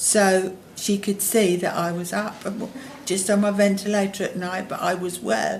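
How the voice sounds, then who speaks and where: A woman speaks in a monotone, flat way with a somewhat breathy voice. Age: 70s. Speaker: long-term hospital patient on a ventilator. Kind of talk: interview answer.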